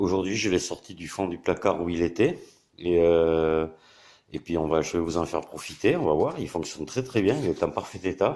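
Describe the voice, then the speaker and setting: A man speaks in a very deep, low voice with a dark, mellow tone. His pace is moderate, with ordinary pitch variation. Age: 60s. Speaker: YouTuber and hobbyist maker. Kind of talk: tutorial. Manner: hesitant, many fillers.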